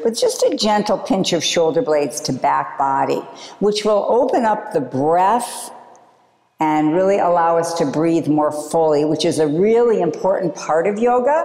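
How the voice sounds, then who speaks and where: A woman's fairly low voice with an American accent, fairly slow and very even in loudness, her intonation lively, with audible room echo and noticeable background noise. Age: 60s. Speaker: yoga teacher. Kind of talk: yoga class instruction. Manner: calm, gentle.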